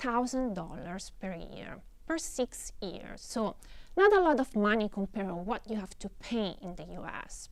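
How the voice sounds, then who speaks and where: A fairly slow delivery in an Italian accent, with very wide pitch swings. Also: woman. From Italy. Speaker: professor. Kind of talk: lecture. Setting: studio. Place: stage. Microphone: lapel.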